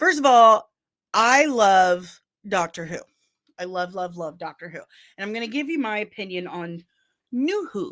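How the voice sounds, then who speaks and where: Speaking at a fairly slow pace with long, frequent pauses, a woman with a Midwestern accent sounds animated, her pitch swinging very widely, on a very clean recording with a silent background. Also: fairly high pitch for a woman. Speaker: pop culture news youtuber. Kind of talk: casual commentary.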